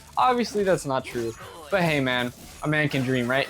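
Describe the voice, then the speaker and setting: Fairly high male voice at a fairly quick clip, with ordinary pitch movement, noticeable noise behind it. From Cuban-American family. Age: 20s. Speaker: gaming YouTuber. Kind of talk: casual gameplay commentary. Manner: rambling, conversational.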